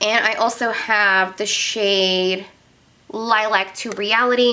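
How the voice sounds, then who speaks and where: A woman speaks with an American accent. Her tone is animated. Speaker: beauty youtuber. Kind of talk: casual makeup declutter video.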